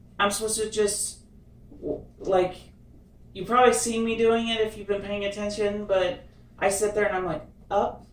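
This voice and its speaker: A woman speaks at a medium pitch and a moderate pace in a monotone, flat intonation with long, frequent pauses. Noticeable background noise and audible room echo fill the recording. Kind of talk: casual chat. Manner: halting.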